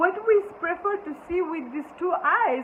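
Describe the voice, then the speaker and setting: A woman with a non-native accent at a moderate pace, over noticeable background noise. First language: not English. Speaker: spiritual teacher. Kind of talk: spiritual talk. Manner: halting.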